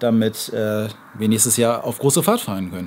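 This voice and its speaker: A man speaks over light background noise. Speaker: camping vlogger. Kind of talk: casual vlog product review. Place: street.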